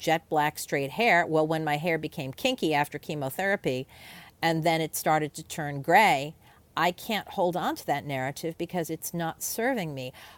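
A woman's fairly low-pitched voice, a plain, everyday voice, with lively intonation, dry and close with no echo, on a very clean recording with a silent background. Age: 60s. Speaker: writer and editor. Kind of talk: interview.

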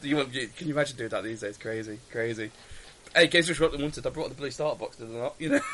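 Talking at a very fast pace in an English accent, a man uses a fairly high pitch with ordinary pitch variation. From England. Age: 30s. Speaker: tabletop wargaming podcaster. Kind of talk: casual chat.

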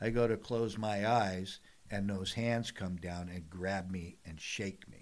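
A man with an American accent, fairly low-pitched and fairly slow, with fairly even intonation and big swings in loudness. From San Diego, California. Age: 60s. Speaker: TV host and retired commercial fisherman. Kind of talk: casual interview conversation. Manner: casual, filler-heavy speech.

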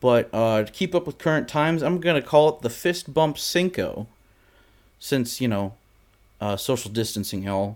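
This is a plain, everyday voice at a moderate pace. Its intonation is lively. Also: man, medium pitch for a man. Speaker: podcast co-host. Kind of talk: casual chat. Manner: joking.

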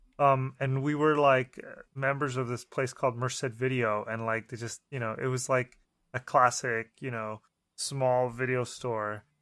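Flat, monotone speech at a fairly slow pace in a very clean recording with a silent background. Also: man, medium pitch for a man. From Mexico. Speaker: film director. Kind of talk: casual chat.

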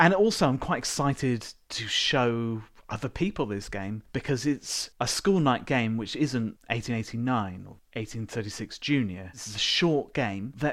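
He talks at a fairly slow pace with ordinary pitch variation. The man has an unremarkable speaking voice, medium in pitch. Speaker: board game podcast co-host. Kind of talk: casual banter podcast chat. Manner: joking, playful.

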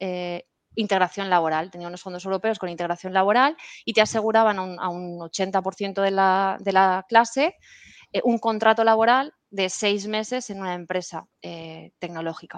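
With an unremarkable speaking voice, a woman talks at medium pitch and a moderate pace, her loudness swinging widely over a quiet background. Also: ordinary pitch variation. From Spain, Valencia (Puerto de Sagunto). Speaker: cloud specialist, IT consultant. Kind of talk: casual interview.

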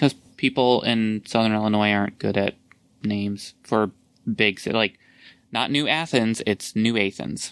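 A man with an ordinary speaking voice talks at a moderate pace in a fairly low pitch with ordinary pitch variation. The recording is very clean with a silent background, the sound dry and close with no echo, and his loudness stays very even. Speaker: podcast host. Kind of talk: casual chat.

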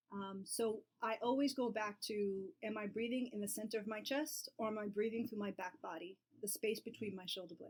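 A woman with a plain, everyday voice and an American accent talks at a fairly quick pace in a fairly high pitch, with ordinary pitch variation. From New York City. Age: 40s. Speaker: yoga therapist. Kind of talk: casual chat.

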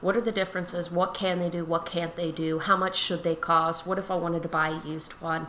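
Someone with an American accent talks at a very fast pace in a monotone, flat intonation, with hardly any pauses and noticeable background noise. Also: woman, fairly low pitch for a woman. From Pennsylvania, near Philadelphia. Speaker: tailor. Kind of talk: casual chat.

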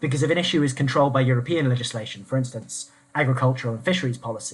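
Somewhat breathy, a man talks at a very fast pace in a medium pitch. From southeast England. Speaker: former constitutional researcher. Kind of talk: panel discussion on politics.

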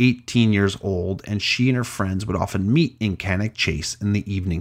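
What you hear is plain reading aloud.

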